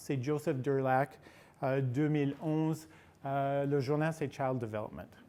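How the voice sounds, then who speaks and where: On a very clean recording with a silent background, a man with a non-native accent speaks at a fairly high pitch in a dark, mellow tone. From United States, California. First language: English (speaking French). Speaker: researcher and conference speaker. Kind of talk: lecture. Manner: hesitant, searching for words.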